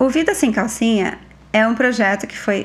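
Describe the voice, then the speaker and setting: The woman's voice sits fairly high. Her intonation is lively. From Brazil, São Paulo state interior. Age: 30s. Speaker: podcast host, educator. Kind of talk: casual monologue. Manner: animated.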